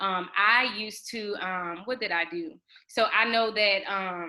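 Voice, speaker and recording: A woman speaks in a plain, everyday voice. Her pitch is medium and her intonation fairly even. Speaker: exam prep tutor. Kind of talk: online study group teaching.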